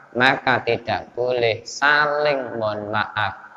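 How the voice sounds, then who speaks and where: A man talks at a very slow pace and a medium pitch, with fairly even intonation. Noticeable background noise runs behind him. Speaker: Islamic preacher giving a religious study session. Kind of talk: religious lecture (kajian) to a mosque congregation. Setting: mosque.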